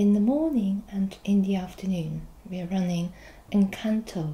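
Very slowly, a woman speaks in a soft-spoken, somewhat breathy voice with a dark, mellow tone. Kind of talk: role-play customer service dialogue. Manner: soft-spoken ASMR customer-service voice. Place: office. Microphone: camera far.

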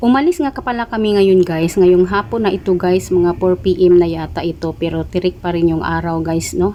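A woman with an ordinary speaking voice, fairly low in pitch, with ordinary pitch variation, a moderate pace and hardly any pauses. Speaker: vlogger. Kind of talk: vlog narration. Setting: shopping mall. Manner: casual.

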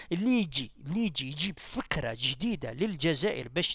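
Over a quiet background with a dry sound and no echo, a man with a high pitch speaks at a moderate pace, his pitch swinging very widely. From Algeria. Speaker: political commentator. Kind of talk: political monologue. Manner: halting. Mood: critical, argumentative. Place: home room.

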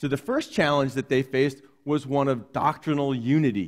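With a quiet background behind him, a man talks at a moderate pace. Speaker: pastor. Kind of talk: sermon. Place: church. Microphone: headset.

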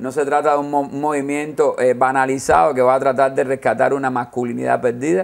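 A man with a medium pitch talks at a fairly quick pace in a plain, everyday voice. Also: fairly even intonation. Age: 40s. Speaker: gender studies researcher and author. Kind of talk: interview.

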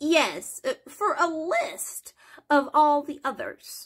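A high-pitched, put-on character voice speaks at a very slow pace. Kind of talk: dramatic reading of a novel, character voices. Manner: nervous, eager to please.

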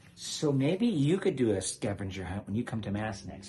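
A man's fairly low voice at a moderate pace, with faint music in the background. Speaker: parish priest host. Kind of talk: casual conversation with guest. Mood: cheerful, joking. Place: home room. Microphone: phone near.

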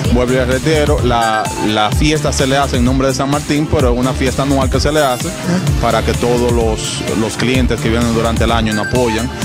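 Clear music plays in the background as a man speaks at a fairly quick pace. The sound is dry with no echo. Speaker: botanica shop owner. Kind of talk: interview answer. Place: shop. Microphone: handheld.

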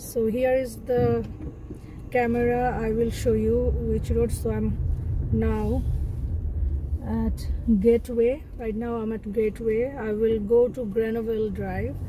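With audible room echo, a woman speaks slowly at a fairly high pitch, her pitch moving little.

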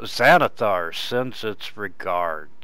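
A man puts on a character voice at a fairly low pitch, with noticeable background noise behind him. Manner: menacing.

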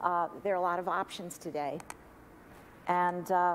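A woman talks at a moderate pace. Light background noise is present. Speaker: funeral director; guest. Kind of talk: talk to an audience. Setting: church forum with audience and live stream.

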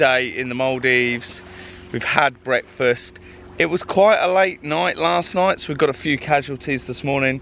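A man at a moderate pace with ordinary pitch variation, a dry sound with no echo and light background noise. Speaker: travel vlogger. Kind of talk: casual vlog chat. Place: beach. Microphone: phone near.

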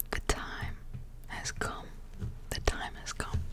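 Whispering, a woman speaks at a very slow pace. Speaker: ASMR creator. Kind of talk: ASMR whisper ramble, fragrance review to camera. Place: home room. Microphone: studio mic.

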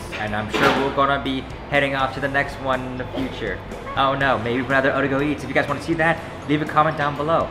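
Music plays in the background while a man speaks at a very fast pace. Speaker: food channel host. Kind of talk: casual vlog outro. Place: hall. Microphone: camera far.

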